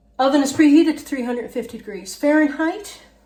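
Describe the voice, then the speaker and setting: A woman speaks, and audible room echo can be heard. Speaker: home cooking channel host. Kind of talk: cooking tutorial. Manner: halting.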